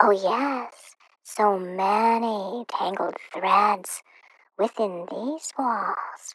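Using a put-on character voice, a woman speaks very slowly at medium pitch, with a fairly bright tone and a slightly husky edge, in a dry, close sound with no echo. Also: ordinary pitch variation.

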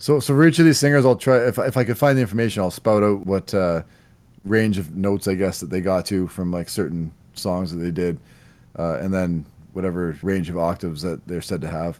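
Recorded very cleanly against a silent background, a man with a Canadian accent speaks at a fairly quick pace, his very deep, low pitch carried by lively intonation. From Canada. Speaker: podcast host. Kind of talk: casual chat about music. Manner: casual, laughs often.

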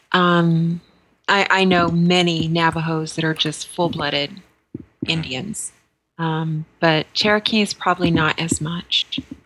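With an American accent, a woman has an ordinary speaking voice, fairly low in pitch with fairly even intonation. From New Mexico, US. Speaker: podcast co-host. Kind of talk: casual chat.

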